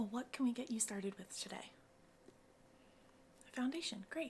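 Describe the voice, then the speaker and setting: Soft-spoken, a woman talks at a fairly quick pace with ordinary pitch variation. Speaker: cosmetics mixologist. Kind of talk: ASMR roleplay.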